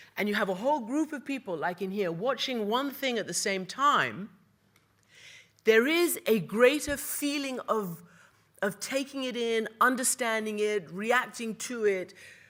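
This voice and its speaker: An unremarkable speaking voice from a woman, fairly high in pitch, at a fairly slow pace with lively intonation, in a very clean recording with a silent background. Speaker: news anchor and international correspondent. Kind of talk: panel talk / speech on media and film.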